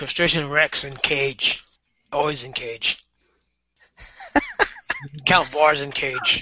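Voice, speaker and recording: A man puts on a character voice with a fairly high pitch. He speaks very slowly, with long, frequent pauses. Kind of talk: broken, primitive speech.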